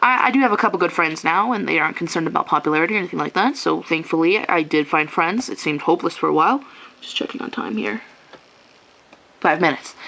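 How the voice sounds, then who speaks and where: Over noticeable background noise, a woman talks at a very fast pace with a fairly low pitch. Her pitch swings very widely. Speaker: vlogger. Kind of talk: personal vlog rant. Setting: at home after a shower, on camera.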